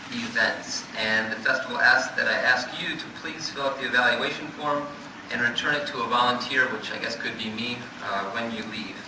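A man talking at a moderate pace with lively intonation, with noticeable background noise and audible room echo. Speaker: magazine editor introducing poets. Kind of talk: event introduction with thanks and announcements. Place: hall. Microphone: podium.

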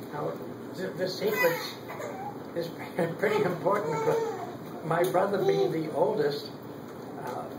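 A man at a fairly slow pace, with long, frequent pauses and loud background noise. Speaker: grandfather telling stories. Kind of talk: family storytelling. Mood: warm, reminiscing. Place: home room. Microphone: camera far.

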